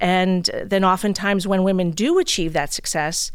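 With an American accent, a woman speaks in an unremarkable speaking voice and fairly even intonation. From US Northeast, Brooklyn, New York. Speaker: bank executive. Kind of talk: casual interview. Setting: studio.

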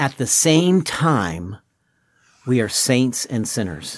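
An ordinary speaking voice, this man talks at a fairly slow pace with a medium pitch. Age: 60s. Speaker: pastor. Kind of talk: casual chat.

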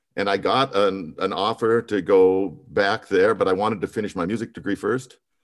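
In a very clean recording with a silent background, a man with a plain, everyday voice and an American accent talks at a moderate pace with fairly even intonation. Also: fairly low pitch for a man. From Montana, US. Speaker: musical theater performer. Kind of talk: interview.

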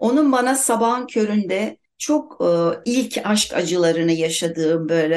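The intonation is lively. The pace is very slow. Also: woman. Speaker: writer. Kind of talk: casual chat.

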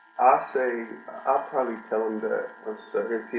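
With noticeable noise in the background, someone talks at a moderate pace. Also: man. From California. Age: 20s. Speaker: college basketball player. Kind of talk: interview.

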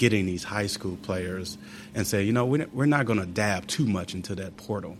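This man has a plain, everyday voice with a fairly low pitch. He speaks at a fairly quick pace. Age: 40s. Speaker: basketball coach, podcast co-host. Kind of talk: casual chat.

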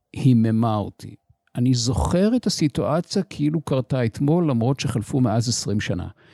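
In a very clean recording with a silent background, a man with a dark, mellow tone speaks at a moderate pace with lively intonation and a dry, close sound with no echo. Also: medium pitch for a man. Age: 60s. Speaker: business coach and podcast host. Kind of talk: solo podcast monologue.

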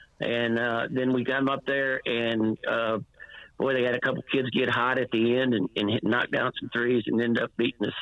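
Over noticeable background noise, a man with a medium pitch speaks at a moderate pace in a monotone, flat intonation. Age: 60s. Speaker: former high school basketball and softball coach. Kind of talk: radio interview. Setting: phone call. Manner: halting, many fillers.

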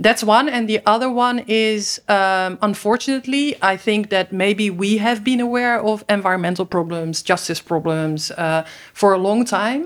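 Recorded very cleanly with a silent background, a woman with a Dutch accent talks at a moderate pace with hardly any pauses, medium pitch and ordinary pitch variation. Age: 50s. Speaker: environmental and human rights organization director. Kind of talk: interview. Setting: studio.

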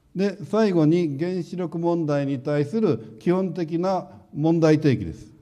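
Very slowly, a man speaks with a high pitch, ordinary pitch variation, and a dark, mellow tone in audible room echo. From Japan, Hiroshima. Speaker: nuclear engineering professor. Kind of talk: lecture.

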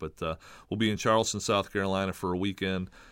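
In a very clean recording with a silent background, a man speaks fairly quickly in a very deep, low pitch with fairly even intonation. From Michigan, Lansing. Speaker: college baseball coach. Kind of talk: interview.

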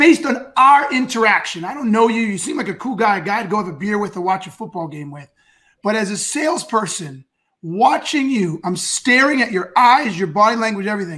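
The speaker talks at a fairly quick pace in a raised, projected voice with a bright, sharp, animated tone, very wide pitch swings and big swings in loudness. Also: man, high pitch for a man. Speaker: sales show host. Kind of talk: live stream interview. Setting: live stream.

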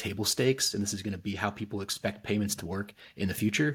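In a very clean recording with a silent background, a man with an American accent speaks very fast in a fairly low, somewhat breathy voice. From US South, Northwest Arkansas (Fayetteville). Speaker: payments industry executive. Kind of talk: podcast interview.

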